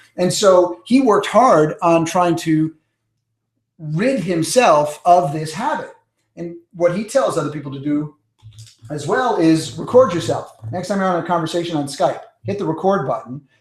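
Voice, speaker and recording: A man with an American accent talks at a moderate pace and a high pitch. His intonation is lively, with big swings in loudness. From New York. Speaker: public speaking coach. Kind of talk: webinar teaching. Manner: energetic.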